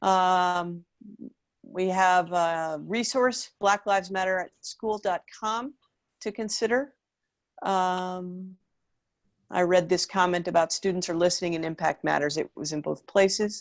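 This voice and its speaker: A woman's normal speaking voice at medium pitch, with ordinary pitch variation and a fairly slow pace. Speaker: school district superintendent. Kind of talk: public meeting, reading and answering comments. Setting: online video meeting.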